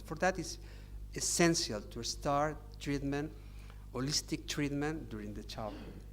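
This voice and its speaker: A voice with a Catalan accent and an audible room echo. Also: man. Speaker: psychiatrist. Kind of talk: lecture. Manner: halting.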